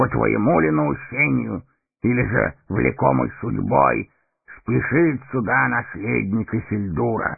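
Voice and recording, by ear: A man puts on a character voice at medium pitch with ordinary pitch variation. He goes at a slow pace, with vocal fry and a slightly husky edge.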